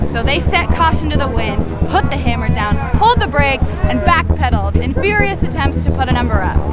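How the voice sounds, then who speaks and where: Speech comes at a very fast pace with a dry sound and no echo. Loud music plays in the background. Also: woman. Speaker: show host. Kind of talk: TV host stand-up narration. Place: street.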